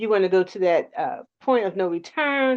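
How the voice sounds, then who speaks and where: A woman is speaking. The background is quiet. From US, South Philadelphia. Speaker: talk show co-host. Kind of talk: online panel discussion, announcements.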